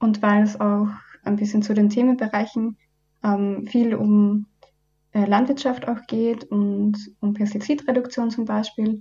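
Her voice fairly high in pitch and somewhat breathy, a woman talks at a fairly slow pace. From Upper Austria. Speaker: environmental volunteer, student. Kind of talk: radio interview. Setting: radio studio.

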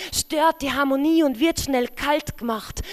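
A woman's high voice with fairly even intonation at a very slow pace. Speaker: poet and slam host. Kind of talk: poetry slam performance, rhythmic spoken word with wordplay and rhymes. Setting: stage with audience, live reading.

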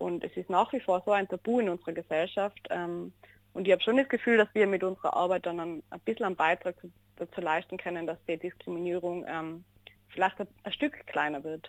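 Over a quiet background, a woman talks at a fairly quick pace with ordinary pitch variation, and the sound is dry and close with no echo. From Austria, Innsbruck (Tyrol). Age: 20s. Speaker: social worker. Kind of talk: radio interview.

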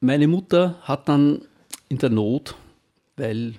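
A man speaks in a dark, mellow tone. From Austria, Styria (Knittelfeld), then Upper Austria. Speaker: retired teacher. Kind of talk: life story interview. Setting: studio.

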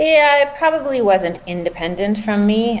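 Over noticeable background noise, a woman with a Canadian accent speaks at a fairly slow pace with lively intonation. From Canada. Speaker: startup founder and scientist. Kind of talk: interview.

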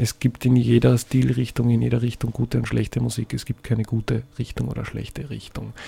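The speaker moves at a fairly quick pace with hardly any pauses. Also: man. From Austria, Salzburg city. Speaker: singer-songwriter. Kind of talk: radio interview. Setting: radio studio. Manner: halting, many fillers and repetitions.

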